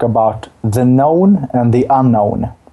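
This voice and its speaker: Very slow and dark, mellow in tone, a man speaks at a medium pitch with ordinary pitch variation. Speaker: dance teacher. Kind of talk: podcast interview. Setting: at home, remote call.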